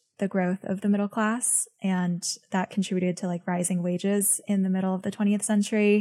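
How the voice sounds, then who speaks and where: A woman with a normal speaking voice talks at a fairly quick pace, medium pitch and fairly even intonation on a very clean recording with a silent background. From born in Beijing, grew up in the US from age six. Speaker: venture capitalist and writer. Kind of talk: interview.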